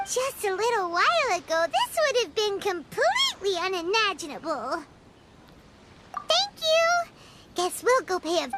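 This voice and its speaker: A put-on character voice with an extremely high pitch speaks at a moderate pace. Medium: video game.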